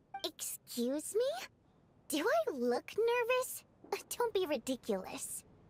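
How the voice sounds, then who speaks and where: In a put-on character voice, a woman speaks at an extremely high pitch with very wide pitch swings, a fairly slow pace, and long, frequent pauses. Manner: defensive, denying nervousness.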